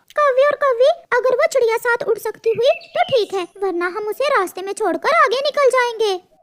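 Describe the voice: A cartoonish character voice, extremely high-pitched, with hardly any pauses. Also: moderate pace.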